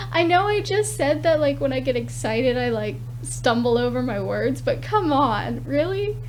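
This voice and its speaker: Audible room echo around a woman's voice, her pace moderate. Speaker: video game builder. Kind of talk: gameplay commentary. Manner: halting.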